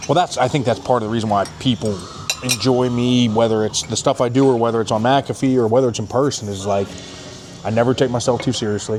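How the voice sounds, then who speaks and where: Over music in the background, a man talks at a very fast pace at medium pitch. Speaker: former pro football player and radio analyst. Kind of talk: casual chat. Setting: steakhouse dinner. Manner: loud; animated.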